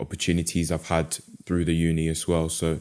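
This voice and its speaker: A man speaks with a London accent. His voice is very deep and low. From London, England. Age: 20s. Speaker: animator and mental health podcaster. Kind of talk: podcast interview.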